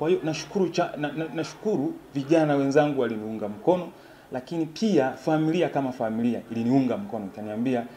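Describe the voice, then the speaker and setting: Lively intonation runs through a man's dark, mellow voice as he speaks at a moderate pace over light background noise. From Tanzania, Shinyanga rural; Tanzania. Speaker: parliamentary aspirant. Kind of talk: interview. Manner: halting. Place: home room.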